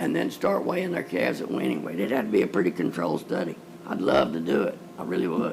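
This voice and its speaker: With a rural Texas accent and lively intonation, a man talks amid noticeable background noise and audible room echo. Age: 70s. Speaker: cattle rancher speaking at public comment. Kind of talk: public comment at county meeting. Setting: county courtroom meeting.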